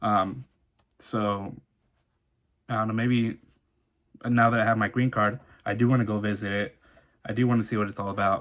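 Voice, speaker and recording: Man with a Southern California accent, fairly low in pitch, in a monotone, flat delivery with long, frequent pauses. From Orange County, California (born in Mexico, arrived at age one). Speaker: vlogger sharing immigrant life story. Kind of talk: personal testimony monologue. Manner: fast, halting with false starts.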